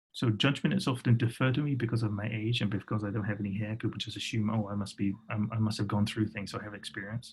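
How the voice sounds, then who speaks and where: A man talks with a British accent at a very fast pace and a medium pitch. His intonation is fairly even and his voice somewhat breathy. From England. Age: 40s. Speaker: design workshop facilitator. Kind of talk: workshop presentation.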